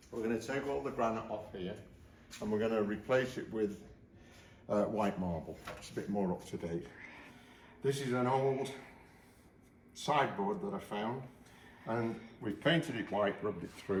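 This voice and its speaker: A man speaks at a moderate pace with a medium pitch, ordinary pitch variation and a somewhat breathy quality. His speech has long, frequent pauses, and the room echo is audible. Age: 80s+. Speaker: DIY renovator. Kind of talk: casual chat.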